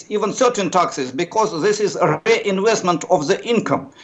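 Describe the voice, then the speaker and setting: Pitch varies in an ordinary way while the talking keeps a moderate pace. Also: man. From Russia. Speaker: economics professor. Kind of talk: news interview. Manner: hesitant, many fillers.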